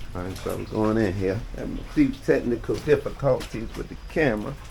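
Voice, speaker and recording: A man talks at a fairly quick pace in an animated tone. Background noise is noticeable throughout. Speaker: travel vlogger. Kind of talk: casual vlog commentary. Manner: fast.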